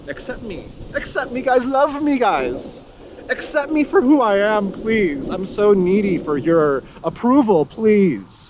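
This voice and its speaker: A man's put-on character voice, high and whiny with a whiny tone, very wide pitch swings and a fairly slow pace, over light background noise. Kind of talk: sarcastic. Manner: mock-needy, whiny pleading.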